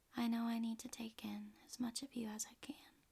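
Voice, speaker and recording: Soft-spoken delivery at a fairly slow pace. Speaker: ASMR reader. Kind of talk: ASMR poetry reading.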